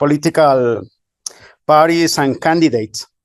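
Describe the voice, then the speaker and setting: A man at a fairly high pitch with ordinary pitch variation, in a dry, close sound with no echo. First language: not English. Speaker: researcher. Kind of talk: conference presentation. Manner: halting.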